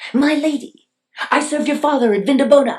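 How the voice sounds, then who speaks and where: A put-on character voice, high-pitched and very fast. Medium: read story.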